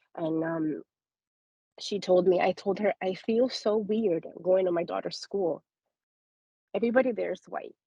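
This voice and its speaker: With a slight Spanish accent, a woman speaks at a moderate pace in a dark, mellow, medium-pitched voice with ordinary pitch variation and long, frequent pauses, the sound dry and close with no echo. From Dominican Republic, moved to US at seven. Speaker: discussion participant. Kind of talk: casual group discussion.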